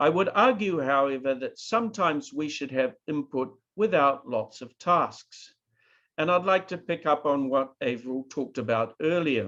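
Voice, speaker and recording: With a New Zealand accent, a man speaks at a moderate pace in a fairly high pitch, his tone bright and sharp. His intonation is lively, and the background is quiet. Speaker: professor. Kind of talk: lecture.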